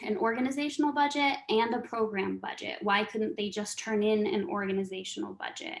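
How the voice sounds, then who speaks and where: A woman speaks at a moderate pace in a normal speaking voice. Her pitch is fairly high and her intonation lively. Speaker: nonprofit grants trainer. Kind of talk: training webinar.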